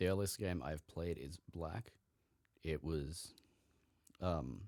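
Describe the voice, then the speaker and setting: A man speaks in a very deep, low pitch. His pace is very slow, with ordinary pitch variation. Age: young. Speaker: podcast host. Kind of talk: casual solo podcast monologue. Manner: casual, with frequent fillers.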